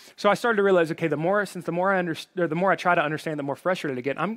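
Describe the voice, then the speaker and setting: Speaking with a slight Southern US accent, a man uses a high pitch. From Alabama. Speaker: pastor. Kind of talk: sermon. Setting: online church service, live from worship center. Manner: informal, friendly.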